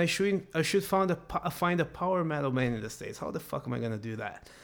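With a Brazilian accent, a man speaks at a fairly quick pace in a high pitch with lively intonation. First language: Portuguese. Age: 30s. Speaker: professional metal guitarist. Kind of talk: casual interview chat.

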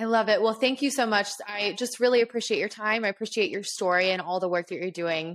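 Upbeat and enthusiastic, a woman with a fairly high pitch races along at a very fast pace with hardly any pauses and ordinary pitch variation. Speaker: podcast host. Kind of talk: casual interview chat. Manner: upbeat, enthusiastic.

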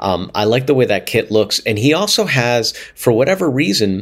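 On a very clean recording with a silent background, a man with an American accent uses an unremarkable speaking voice, talking at a fairly slow pace with lively intonation. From US, Pittsburgh. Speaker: music professor and drummer. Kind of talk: casual interview chat.

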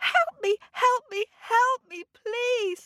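Her pitch extremely high, a woman does a put-on character voice. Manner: pleading.

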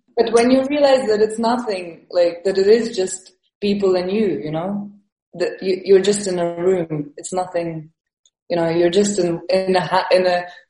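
A woman with an Estonian accent talks at a fairly slow pace and medium pitch, with ordinary pitch variation. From Estonia, moved to London at twelve. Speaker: comedian and physical performer. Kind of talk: casual interview. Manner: halting, with many fillers and repetitions.

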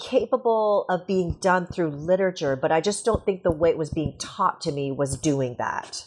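Over a quiet background, a woman with a Canadian accent speaks at a medium pitch and moderate pace in a plain, everyday voice with lively intonation. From Canada. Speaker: sociology professor and author. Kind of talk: interview.

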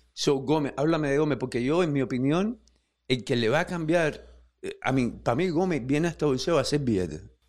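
A normal speaking voice at a fairly quick pace, with ordinary pitch variation, very even loudness and a quiet background. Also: man, fairly high pitch for a man. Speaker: podcast host. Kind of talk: interview conversation. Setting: studio.

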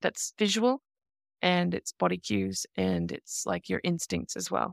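A woman speaks with an Australian accent. The sound is dry and close with no echo, on a very clean recording with a silent background. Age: 40s. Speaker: leather community dominant. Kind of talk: interview.

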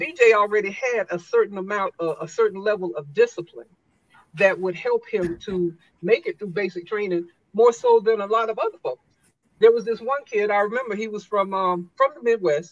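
A woman with a plain, everyday voice and an American accent talks at a moderate pace with ordinary pitch variation. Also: medium pitch for a woman. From US South, South Carolina. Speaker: retired army drill sergeant and motivational speaker. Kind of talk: interview storytelling.

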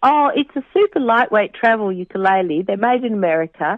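Talking at a fairly quick pace with ordinary pitch variation, a woman speaks in an Australian accent. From Western Australia. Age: 50s. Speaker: pilgrim and mother. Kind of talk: casual interview. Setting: phone call. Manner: cheerful, warm.

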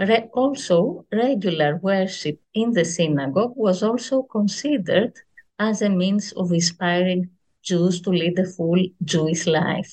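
A woman with a Greek accent, somewhat breathy, at a fairly slow pace and very even loudness. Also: medium pitch for a woman, ordinary pitch variation. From Greece, Athens. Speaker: history professor. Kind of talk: reading aloud; interview. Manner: hesitant, many fillers.

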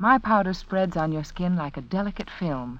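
Here a woman speaks with a fairly low pitch. Her pace is moderate.

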